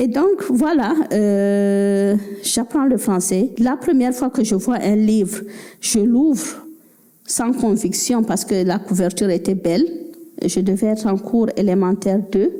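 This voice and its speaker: The speaker talks at a very slow pace with a West African accent. The loudness stays very even throughout. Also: woman, fairly high pitch for a woman, lively intonation. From Cameroon. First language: Fulfulde (speaking French). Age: 50s. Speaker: novelist. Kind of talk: book club talk.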